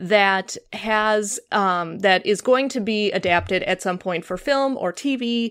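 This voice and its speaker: At a fairly slow pace, a woman with a fairly high pitch speaks with an American accent, on a very clean recording with a silent background. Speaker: podcast host. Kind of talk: casual chat.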